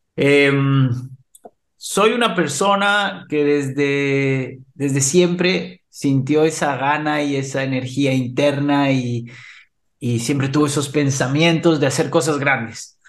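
With audible room echo around him, a man speaks at a very slow pace and a fairly high pitch. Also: ordinary pitch variation. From Ecuador. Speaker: HR expert and entrepreneur. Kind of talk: interview.

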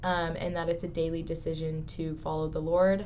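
In an American accent, a woman speaks at a moderate pace with audible room echo. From Southern California. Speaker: college student. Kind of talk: casual chat. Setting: studio.

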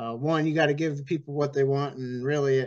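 In a normal speaking voice, a man with an American accent talks at a fairly high pitch with fairly even intonation against a quiet background. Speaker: demolition derby promoter. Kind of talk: casual chat.

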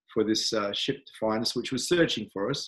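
This is a man with a medium-pitched voice and an Australian accent. The background is quiet. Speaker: spiritual teacher. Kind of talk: interview.

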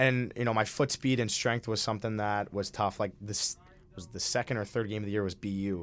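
With an American accent and an ordinary speaking voice, a man talks at a fairly quick pace using fairly even intonation. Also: fairly low pitch for a man. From Minnesota. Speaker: college ice hockey player. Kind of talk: casual interview. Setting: studio.

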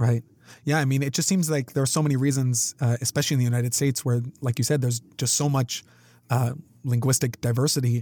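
A man's dark, mellow, somewhat breathy voice in a Canadian accent at a very fast pace, with very even loudness and fairly even intonation, dry and close with no echo. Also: medium pitch for a man, very clean recording, silent background. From Canada. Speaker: podcast host, instructor and researcher. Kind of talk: interview. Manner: clearly enunciated.

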